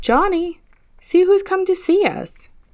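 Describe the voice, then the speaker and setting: Using a put-on character voice, a woman speaks at a fairly slow pace in a squeaky, extremely high pitch with ordinary pitch variation. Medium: read story. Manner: agitated.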